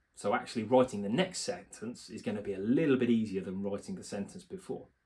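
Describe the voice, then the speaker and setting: Here a man talks very fast at a medium pitch. His intonation is lively, with big swings in loudness. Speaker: self-help video creator, doctorate holder. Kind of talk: motivational talk to camera. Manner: mumbling, filler words.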